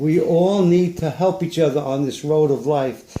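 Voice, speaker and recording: A man's high-pitched voice, dark and mellow in tone, at a fairly slow pace. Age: 70s. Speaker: painter. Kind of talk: casual talk about own paintings. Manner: halting.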